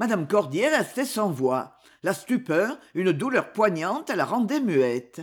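A natural voice reading aloud.

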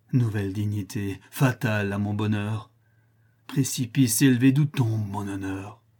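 Here a man speaks fairly slowly at a fairly low pitch. His voice is somewhat breathy and his intonation fairly even. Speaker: voice actor reading theatre. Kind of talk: dramatic theatrical monologue, declaimed. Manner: impassioned, tragic, anguished; declamatory, rising and falling with outrage.

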